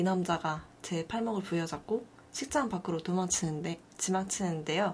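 A woman with an ordinary speaking voice at a moderate pace, with ordinary pitch variation. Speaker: video artist. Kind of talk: casual chat.

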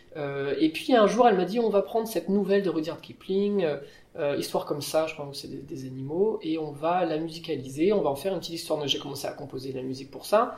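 With noticeable background noise and audible room echo, a man talks very fast at a high pitch, with ordinary pitch variation and big swings in loudness. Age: 30s. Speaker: pianist and improvising musician. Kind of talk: casual interview. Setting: on a theatre stage.

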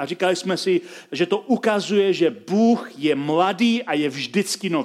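This man speaks at a moderate pace in a high pitch. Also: ordinary pitch variation. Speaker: pastor. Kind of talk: sermon.

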